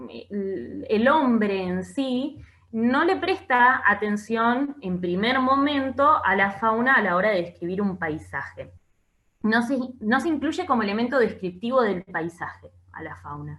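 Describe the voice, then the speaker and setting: A woman with a fairly high pitch speaks at a fairly slow pace, her pitch swinging very widely. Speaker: teacher. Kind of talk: lecture.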